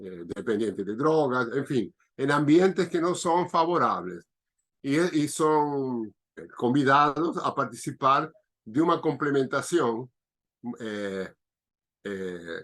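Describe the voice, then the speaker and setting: Very slowly, a man speaks in a fairly high voice with very wide pitch swings. Long, frequent pauses break up his speech. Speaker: biodanza facilitator. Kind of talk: interview answer.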